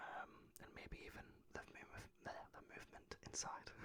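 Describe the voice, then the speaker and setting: Whispering very slowly, a man speaks in a British accent. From United Kingdom. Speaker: ASMR creator. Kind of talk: casual talk to camera. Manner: whispered, soft-spoken.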